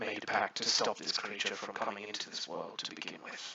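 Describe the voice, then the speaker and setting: A man performs in a put-on character voice. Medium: actual play. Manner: measured, thoughtful.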